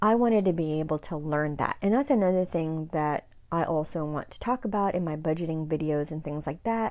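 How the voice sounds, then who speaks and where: A woman speaks softly in a dark, mellow tone. Her intonation is lively. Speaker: YouTuber. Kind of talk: casual chat. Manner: soft-spoken. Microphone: new mic, volume boosted in editing.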